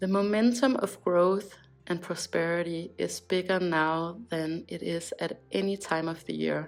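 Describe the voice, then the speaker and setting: With music in the background, a woman with a Danish accent speaks at a fairly slow pace in a fairly low pitch with fairly even intonation. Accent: Danish accent, self-noted. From Denmark. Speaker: crystal shop owner and vlogger. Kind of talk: casual vlog talk on spirituality.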